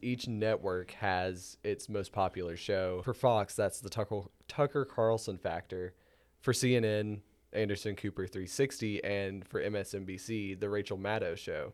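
Recorded very cleanly against a silent background, a man with an unremarkable speaking voice talks at a moderate pace, fairly low in pitch and with fairly even intonation. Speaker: student podcast host. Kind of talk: interview. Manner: partly scripted, reads prepared questions.

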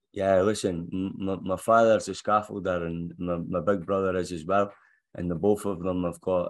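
In a Scottish accent, a man talks with a very deep, low pitch. His intonation is monotone and flat, and the background is quiet. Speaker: football head coach. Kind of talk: press conference.

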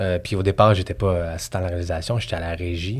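In a Quebec accent, a man talks at a fairly quick pace in a very deep, low, somewhat breathy voice with fairly even intonation. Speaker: assistant director. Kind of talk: casual chat.

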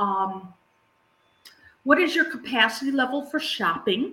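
The speaker uses a raised, projected voice at a fairly slow pace, with very wide pitch swings. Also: woman. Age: 60s. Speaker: grief coach and podcast host. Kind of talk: casual chat. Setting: live recording.

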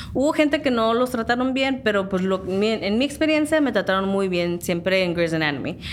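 Amid noticeable background noise, a woman with a fairly high pitch makes very wide pitch swings. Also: fairly quick pace, very even loudness. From Southern California, San Diego area. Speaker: background actress. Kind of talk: interview.

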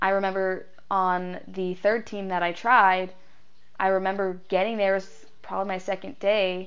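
A woman's monotone, flat voice at a moderate pace, with audible room echo. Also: medium pitch for a woman. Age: 20s. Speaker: podcast host. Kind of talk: personal testimony.

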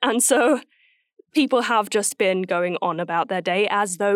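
A woman's fairly high, lively voice, an ordinary speaking voice, with a dry, close sound and no echo. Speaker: voice actor. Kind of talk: casual chat. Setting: remote call.

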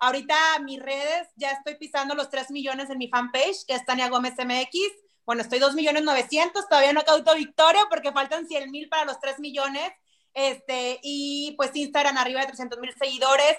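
Pitched high, a woman speaks with fairly even intonation. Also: moderate pace. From Mexico, Monterrey. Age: 30s. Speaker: TV weather presenter. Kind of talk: interview.

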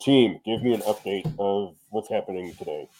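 The voice is a put-on character voice. It comes from a man, pitched fairly low. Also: moderate pace. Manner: commanding, directing a team.

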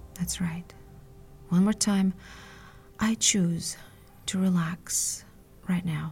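A woman's somewhat breathy, medium-pitched voice in a soothing, calm tone, very slow and monotone with flat intonation, broken by long, frequent pauses. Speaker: hypnotherapist. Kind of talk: guided hypnosis induction. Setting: solo audio podcast. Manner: slow, soothing, calm; hushed, rhythmic, hypnotic.

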